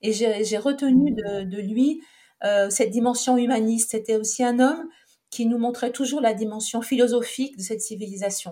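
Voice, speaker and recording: A woman's fairly high voice with a dark, mellow tone, fairly even intonation and a moderate pace. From France, Saint-Étienne. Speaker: Egyptologist and author. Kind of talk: interview. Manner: hesitant, many fillers.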